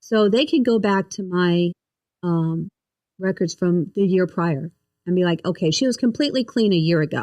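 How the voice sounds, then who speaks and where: A woman of medium pitch speaks with a dark, mellow tone and ordinary pitch variation. Her moderate pace comes through a dry, close sound with no echo. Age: 60s. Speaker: breast cancer survivor. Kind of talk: testimony.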